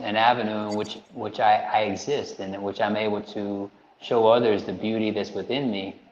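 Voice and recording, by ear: The man's pitch is fairly low with little movement. He speaks at a moderate pace, and there is audible room echo.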